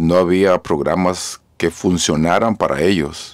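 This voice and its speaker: Very deep, low male pitch against a quiet background. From Mexico, Jalisco; raised in California from age 13. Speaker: mayor. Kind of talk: radio interview. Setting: mobile studio. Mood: earnest, grave at times. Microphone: studio mic.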